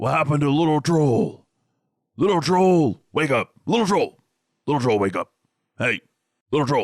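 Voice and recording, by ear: This man puts on a character voice with a fairly high pitch. He moves at a moderate pace, leaving long, frequent pauses.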